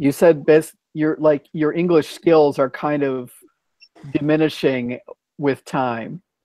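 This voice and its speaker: An unremarkable speaking voice belongs to this man, who talks at a fairly slow pace and fairly high pitch with an American accent. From United States. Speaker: English conversation host. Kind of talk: casual chat. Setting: video call.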